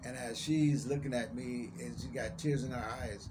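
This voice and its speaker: Audible room echo surrounds a man speaking at medium pitch and a fairly slow pace, with ordinary pitch variation. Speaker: vlogger. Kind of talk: personal testimony vlog. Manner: careful enunciation.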